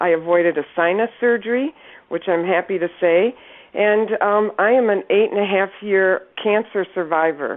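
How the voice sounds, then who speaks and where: A woman with an American accent speaks in a plain, everyday voice at a medium pitch, with ordinary pitch variation, a moderate pace and very even loudness. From Northern Michigan. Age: 60s. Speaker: product distributor giving testimonial. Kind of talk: testimony.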